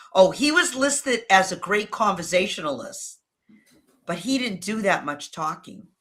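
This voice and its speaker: At a moderate pace, a woman with a New England accent and medium pitch speaks with very wide pitch swings. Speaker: video strategist. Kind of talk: interview.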